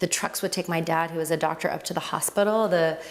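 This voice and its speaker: Speaking at a fairly quick pace with an American accent, a woman with a fairly low pitch is heard over noticeable background noise. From US (Miami), born in Lebanon. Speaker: yoga teacher. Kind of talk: interview. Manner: conversational, some hesitation.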